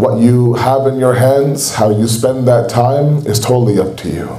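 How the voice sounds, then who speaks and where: A man speaks at a moderate pace in a flat monotone at a medium pitch. Audible room echo and noticeable background noise fill the recording. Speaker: Islamic speaker. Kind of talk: religious lecture. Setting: mosque gathering with audience.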